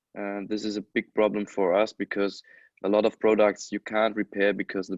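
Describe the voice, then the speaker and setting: A man speaks with a non-native accent at a moderate pace, his fairly low voice flat and monotone. The sound is dry and close with no echo, over a quiet background. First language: not English. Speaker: electronics repairer. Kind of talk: webinar panel discussion. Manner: halting.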